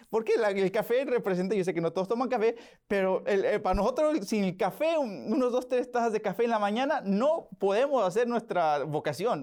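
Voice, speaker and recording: High in pitch, a man speaks on a very clean recording with a silent background. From Oklahoma, US, to Mexican parents. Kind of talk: interview. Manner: hesitant, many fillers and repetitions.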